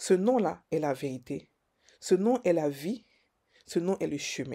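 A woman's fairly low pitch with a dark, mellow tone and lively intonation, in a very clean recording with a silent background. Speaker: preacher. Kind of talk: devotional sermon-style meditation. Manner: emphatic, repetitive, preacher cadence with Alleluia refrains; fervent, declarative, stumbling repetitions.

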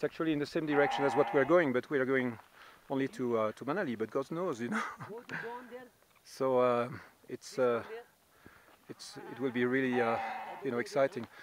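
With long, frequent pauses, a man talks with ordinary pitch variation in a dry sound with no echo, over noticeable background noise. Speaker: hiker vlogger. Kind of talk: casual vlog chat. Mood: excited, cheerful. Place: open country. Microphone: phone near.

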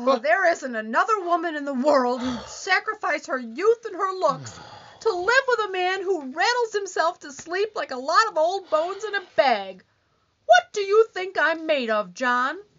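A woman's extremely high voice with very wide pitch swings and big swings in loudness. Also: moderate pace. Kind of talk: 1940s radio comedy acting. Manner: complaining, whiny, accusing.

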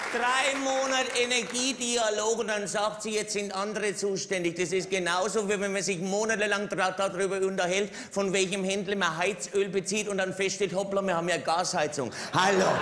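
The man's pitch is high, and his loudness stays very even. He leaves hardly any pauses. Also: fairly even intonation, moderate pace. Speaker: stand-up comedian. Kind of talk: political cabaret monologue. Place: stage. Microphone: headset.

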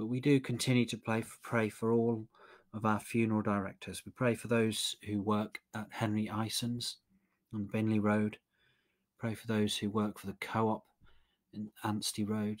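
Flat and monotone, a man's warm, fairly low voice proceeds at a moderate pace. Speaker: prayer leader. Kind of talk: led evening prayer, liturgy and intercession, fervent and devotional at 14:19. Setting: online live-streamed service. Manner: warm, earnest, measured; fervent, pleading, reverent in prayer.

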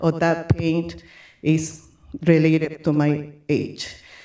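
In a room with audible echo, a woman with a fairly low pitch speaks at a very slow pace. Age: 60s. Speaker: public commenter at school board meeting. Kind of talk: public comment. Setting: public meeting. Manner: halting.

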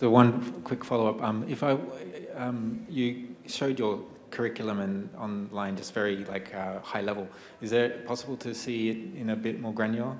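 A man at a moderate pace, medium pitch and fairly even intonation, with noticeable background noise. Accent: Australian. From Australia. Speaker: audience member asking questions. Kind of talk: audience Q&A. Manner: hesitant, many fillers.

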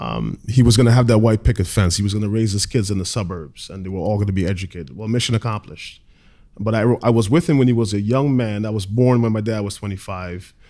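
A man's fairly low, dark and mellow voice with ordinary pitch variation, at a very fast pace against a quiet background. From Caribbean. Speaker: media production company owner; panel host. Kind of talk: panel discussion. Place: hall. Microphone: studio mic.

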